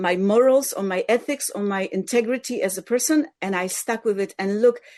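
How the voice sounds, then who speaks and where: This is a woman with a Polish accent. Her pitch is fairly high. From Poland. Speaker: musician. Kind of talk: interview.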